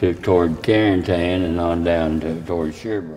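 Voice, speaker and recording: A man with an Appalachian accent speaks at a very deep, low pitch and a fairly slow pace, with fairly even intonation and noticeable background noise. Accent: Appalachian Southern US. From US South, southeastern Kentucky. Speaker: war veteran. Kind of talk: interview.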